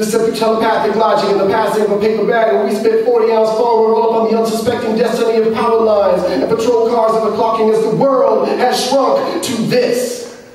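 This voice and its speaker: A man talks at a fairly quick pace with hardly any pauses, his pitch high and his intonation monotone and flat. Noticeable background noise runs under the recording. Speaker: poet. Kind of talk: spoken word poetry performance. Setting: live open-mic reading.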